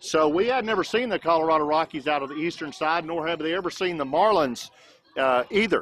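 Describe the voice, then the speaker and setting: A plain, everyday voice from a man with an American accent, fairly high in pitch with ordinary pitch variation, at a fairly quick pace. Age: 60s. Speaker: youth baseball livestream commentator. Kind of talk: live commentary. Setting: outdoors at a ballfield. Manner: conversational, with many fillers.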